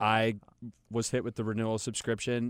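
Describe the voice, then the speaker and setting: Talking at a fairly quick pace, a man with an American accent has a normal speaking voice and medium pitch. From Charlotte, North Carolina. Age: 30s. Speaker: real estate investor. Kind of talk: interview. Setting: studio.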